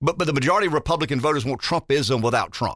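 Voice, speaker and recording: With a Southern US accent, a man speaks at a medium pitch in a bright, sharp tone, the sound dry and close with no echo on a very clean recording with a silent background. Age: 50s. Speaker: radio talk show host. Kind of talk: talk radio. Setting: studio.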